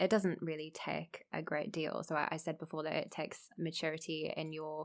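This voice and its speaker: The speaker has an English accent. The intonation stays flat and monotone. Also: woman, very deep, low pitch for a woman, moderate pace. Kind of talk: casual chat.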